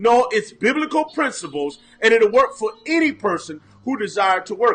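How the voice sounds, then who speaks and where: Over music in the background, a man speaks in a raised, projected voice at a moderate pace. His extremely high pitch swings very widely, and his tone is animated. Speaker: pastor and mindset coach. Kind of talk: motivational livestream talk. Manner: loud.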